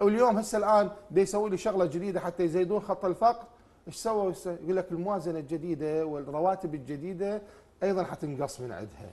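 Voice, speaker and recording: The man's pitch is high with ordinary variation, and he talks at a fairly quick pace. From Iraq. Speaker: social researcher; talk show guest. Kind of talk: TV talk show debate. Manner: animated. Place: studio. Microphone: lapel.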